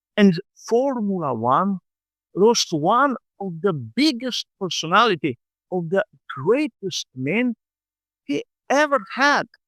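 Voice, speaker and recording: A man's high-pitched voice with a Slovenian accent, very slow with long, frequent pauses and very wide pitch swings, on a very clean recording with a silent background and a dry, close sound with no echo. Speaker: motorsport vlogger. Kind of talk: scripted narration.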